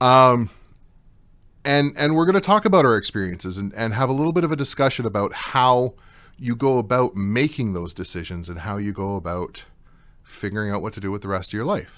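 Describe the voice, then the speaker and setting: Against a quiet background, a man with a normal speaking voice and medium pitch talks at a fairly quick pace with lively intonation. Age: 30s. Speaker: radio host and mature university student. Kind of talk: talk radio panel discussion. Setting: studio.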